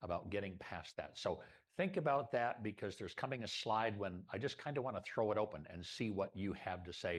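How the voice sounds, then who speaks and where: A man speaks in a plain, everyday voice. His pitch is fairly low and his pace moderate. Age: 60s. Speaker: club presenter, photographer and former academic dean. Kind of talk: presentation at a members' meeting. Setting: meeting room with live audience and Zoom.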